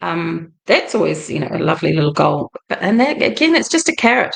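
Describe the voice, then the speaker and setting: The voice carries vocal fry and moves at a moderate pace. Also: woman. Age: 60s. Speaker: life coach / vlogger. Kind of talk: livestream monologue. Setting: live video stream. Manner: casual, conversational.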